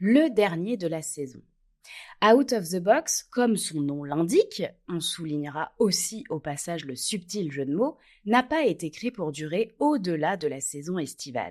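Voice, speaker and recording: Captured in a very clean recording with a silent background, the voice moves at a fairly slow pace through very wide pitch swings. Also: woman, fairly low pitch for a woman. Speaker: podcast host, relationship coach. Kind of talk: podcast monologue.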